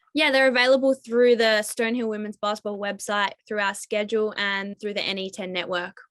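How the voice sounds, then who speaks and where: Fairly even intonation and a fairly quick pace in a woman's fairly high voice. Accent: Australian. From Australia (Tasmania). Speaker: college basketball player. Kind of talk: interview. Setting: video call.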